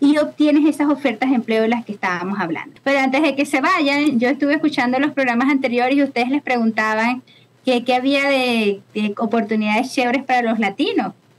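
A woman with a Maracaibo accent, high in pitch, with hardly any pauses. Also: ordinary pitch variation, fairly quick pace. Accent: Venezuelan Maracucho Spanish. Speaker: immigration consultant. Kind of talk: casual interview. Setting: video call. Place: home room. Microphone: video call.

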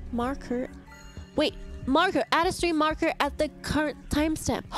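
Music plays in the background. A woman talks at a high pitch. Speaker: VTuber streamer. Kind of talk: casual livestream gaming chat. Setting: livestream. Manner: animated.

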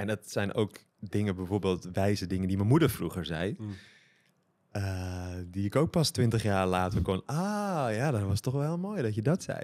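A man's fairly low voice, a normal speaking voice, with lively intonation and a moderate pace, on a very clean recording with a silent background. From Netherlands, Amsterdam. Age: 40s. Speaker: tantra and consciousness coach. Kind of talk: casual chat.

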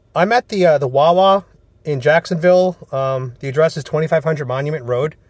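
A somewhat breathy man's voice with ordinary pitch variation and a dry sound with no echo. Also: fairly quick pace, quiet background. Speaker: caller. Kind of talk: casual selfie monologue, partly a phone call. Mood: indignant, worried. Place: car. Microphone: phone near.

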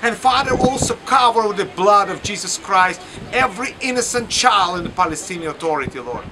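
A man projects his voice loudly at a high pitch. Noticeable background noise comes through. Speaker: pastor. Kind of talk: fervent prayer, impassioned intercession. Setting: outdoors or on location video message from Lyon, France. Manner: urgent, pleading, earnest; halting, non-fluent English.

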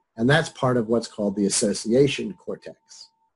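A man speaks at a moderate pace with ordinary pitch variation. His voice is somewhat breathy. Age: 60s. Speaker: psychology professor. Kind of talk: lecture. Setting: video call. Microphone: webcam.

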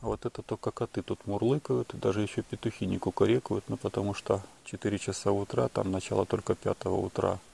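The voice has a dark, mellow tone. Vocal fry runs through it. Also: man, fairly low pitch for a man, ordinary pitch variation, fairly quick pace. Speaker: video blogger. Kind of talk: casual monologue vlog. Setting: outdoors at night.

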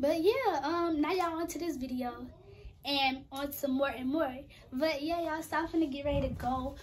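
A woman speaks in a raised, projected voice with a bright, sharp tone. Her pace is moderate and her pitch varies in an ordinary way. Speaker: vlogger. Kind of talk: casual vlog chat. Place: home room. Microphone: phone near.

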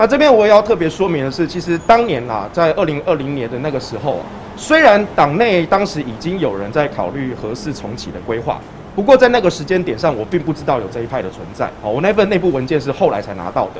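Over light background noise, a man with a fairly high pitch races at a very fast pace with hardly any pauses, his voice making very wide pitch swings and big swings in loudness. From Taiwan, Taichung; Taiwan. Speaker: pro-nuclear activist. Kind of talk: press interview; press interview answer. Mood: earnest, firm. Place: street. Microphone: handheld.

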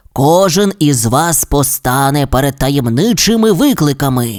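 A gruff put-on character voice from a man, fairly high in pitch, at a moderate pace. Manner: sinister.

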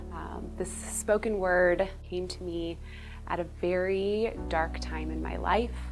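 A woman speaking at a very slow pace over clear background music. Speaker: church member. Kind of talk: personal testimony. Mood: earnest, reflective, warm. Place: studio. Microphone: lapel.

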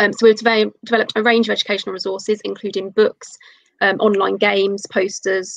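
At a fairly quick pace, a woman speaks at medium pitch in a monotone, flat delivery. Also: dry, close sound with no echo. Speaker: doctoral researcher. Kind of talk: lecture. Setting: video call.

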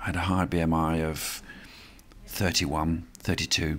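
The man talks at a fairly slow pace. Light background noise runs underneath. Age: 70s. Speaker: amateur ocean yacht racer. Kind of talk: interview answer. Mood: reflective, calm. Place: street.

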